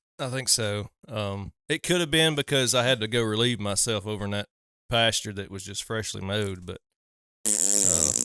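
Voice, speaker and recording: Someone with a Southern US accent speaks at a moderate pace with ordinary pitch variation, in dry, close sound with no echo. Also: man, fairly low pitch for a man. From US South. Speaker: hunting podcast host. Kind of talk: casual chat.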